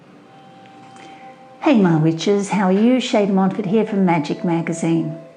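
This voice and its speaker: A woman speaks fairly slowly with hardly any pauses, very even loudness and ordinary pitch variation. Music plays in the background, and the room echo is audible. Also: medium pitch for a woman. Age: 60s. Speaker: witchcraft teacher. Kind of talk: casual talk to camera.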